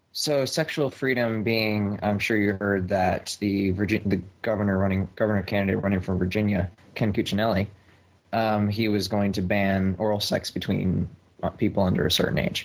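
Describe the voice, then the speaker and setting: On a very clean recording with a silent background, a man with a plain, everyday voice and a fairly low pitch speaks at a moderate pace, with fairly even intonation and very even loudness. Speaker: caller. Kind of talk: casual chat.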